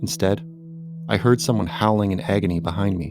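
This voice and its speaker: A man speaks over noticeable background noise. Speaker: horror story narrator. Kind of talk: horror story narration.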